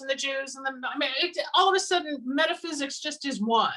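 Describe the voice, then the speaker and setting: Raised and projected, a woman's high-pitched voice moves at a fairly quick pace. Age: 60s. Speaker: psychic healer. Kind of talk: interview.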